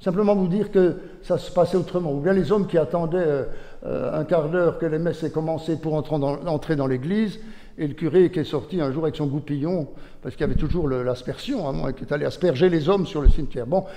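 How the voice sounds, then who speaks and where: The delivery is very fast. Its pitch varies in an ordinary manner. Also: man, fairly high pitch for a man. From Switzerland, Jura (Courgenay). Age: 70s. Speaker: retired bishop. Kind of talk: public talk. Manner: conversational, hesitant.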